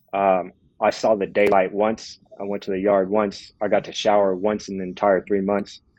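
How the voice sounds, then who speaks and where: A man with a Californian accent talks at a moderate pace and a fairly low pitch. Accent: Californian American English. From Southern California, Los Angeles. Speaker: prison reform advocate. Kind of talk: personal testimony in podcast interview. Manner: halting, many fillers and repetitions.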